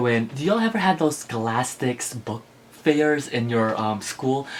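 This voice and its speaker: Noticeable background noise runs under a man with an American accent speaking at medium pitch and a moderate pace. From Philippines, Ilocos Norte, moved to US at 7 or 8. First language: Ilocano. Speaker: book vlogger. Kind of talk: casual vlog chat. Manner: animated.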